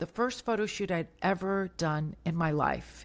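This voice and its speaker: A woman speaks at a moderate pace and a medium pitch, with ordinary pitch variation. She has an unremarkable speaking voice, captured in a very clean recording with a silent background. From US South, Tampa, Florida. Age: 60s. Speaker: motivational speaker and bodybuilder. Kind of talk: podcast interview.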